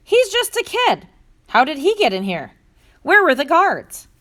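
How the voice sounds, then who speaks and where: Putting on a squeaky character voice, a woman talks at a moderate pace with extremely high pitch and very wide pitch swings. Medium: read story. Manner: stern, authoritative.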